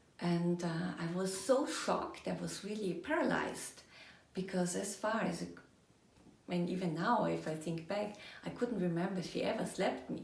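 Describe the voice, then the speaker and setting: A woman with a German accent speaks at a moderate pace with a fairly low pitch and ordinary pitch variation, amid noticeable background noise and audible room echo. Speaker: energy coach. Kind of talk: personal storytelling monologue.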